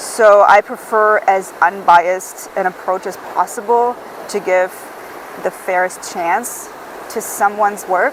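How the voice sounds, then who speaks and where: Fairly even intonation and a fairly slow pace come through over noticeable background noise. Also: woman, medium pitch for a woman. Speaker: book reviewer. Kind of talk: casual book review monologue. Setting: outdoors on a beach.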